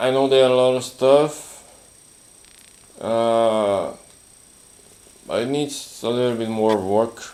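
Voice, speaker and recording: With audible room echo, a man speaks very slowly at a medium pitch, using fairly even intonation and long, frequent pauses. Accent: non-native. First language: not English. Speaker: live streamer. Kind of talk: casual chat. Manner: halting.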